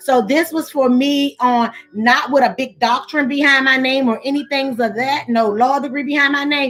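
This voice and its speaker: There is noticeable background noise as a woman speaks at a high pitch. Her intonation is fairly even, and her pace moderate. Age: 40s. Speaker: live stream talk show host. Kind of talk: live stream discussion with chat. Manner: halting, repeats words.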